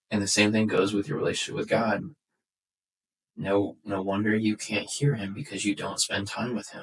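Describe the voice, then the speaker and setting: Fairly low in pitch and somewhat breathy, the man's voice moves at a moderate pace with ordinary pitch variation. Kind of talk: casual faith podcast chat. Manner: frequent fillers and restarts.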